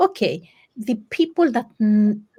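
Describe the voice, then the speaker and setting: A woman's somewhat breathy, fairly high voice with a dark, mellow tone. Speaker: coach. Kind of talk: casual chat.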